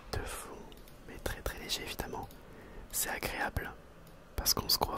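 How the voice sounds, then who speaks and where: Someone whispers over noticeable background noise. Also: man. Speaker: ASMR creator and school teacher. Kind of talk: ASMR whisper video to the camera. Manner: whispered, soft-spoken.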